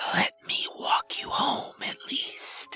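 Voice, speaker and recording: A man's raspy whisper in a put-on character voice. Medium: read story. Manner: smooth but menacing.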